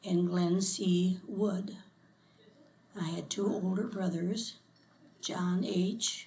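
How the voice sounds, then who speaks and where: With audible room echo, a woman with an American accent speaks very slowly at a medium pitch, her intonation flat and monotone, leaving long, frequent pauses. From US Midwest, Elmore, Ohio. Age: 90s. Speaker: local resident interviewed for oral history. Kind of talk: oral history interview. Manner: halting.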